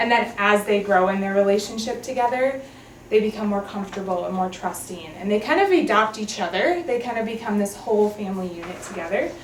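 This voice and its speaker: A woman with an American accent talks at a fairly quick pace in a medium pitch with ordinary pitch variation, over noticeable background noise and audible room echo. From Minnesota. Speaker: adoption agency worker. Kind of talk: training presentation. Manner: casual, many fillers.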